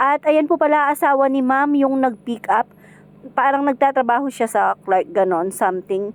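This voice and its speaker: Dry, close sound with no echo, carrying a woman's voice and ordinary pitch variation. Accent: Kapampangan. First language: Kapampangan (speaking Tagalog). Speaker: home food seller and vlogger. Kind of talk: cooking vlog narration.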